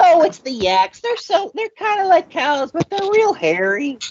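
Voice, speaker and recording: This put-on character voice sits at a high pitch and moves through very wide pitch swings. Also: moderate pace. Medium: actual play. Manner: gruff, blunt.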